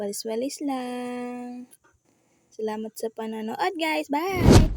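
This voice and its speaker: Against noticeable background noise, a woman speaks very slowly at a high pitch. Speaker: vlogger. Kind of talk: casual vlog narration. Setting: at home, kitchen and bedroom. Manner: shy, soft-spoken.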